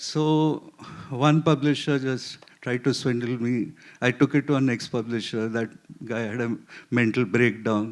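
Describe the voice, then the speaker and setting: A plain, everyday voice with fairly even intonation. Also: man, medium pitch for a man, fairly slow pace. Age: 60s. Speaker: scientist and novelist. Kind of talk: literary festival panel discussion.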